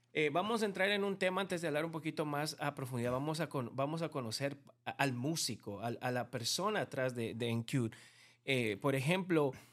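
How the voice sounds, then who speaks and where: Recorded very cleanly over a silent background, a man with a plain, everyday voice talks at a fairly quick pace, his fairly high pitch carrying lively intonation. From Bolivia. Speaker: podcast host. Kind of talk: casual interview chat.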